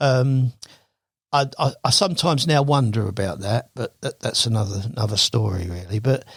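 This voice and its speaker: At a fairly quick pace, a man speaks somewhat breathily at a medium pitch with lively intonation. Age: 70s. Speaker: carp angler. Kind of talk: podcast interview. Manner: halting.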